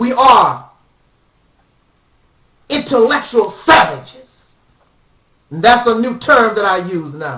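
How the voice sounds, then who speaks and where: Each word comes very slowly. Pauses are long and frequent. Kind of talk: preachy monologue to the audience, sermon-like address.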